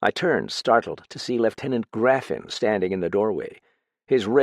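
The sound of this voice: Quiet surroundings, ordinary pitch variation, and an unforced reading voice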